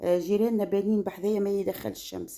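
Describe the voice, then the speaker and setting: A woman speaks with a Tunisian accent. Her pace is fairly quick and her pitch medium. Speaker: cooking and lifestyle vlogger. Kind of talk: casual vlog talk. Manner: halting.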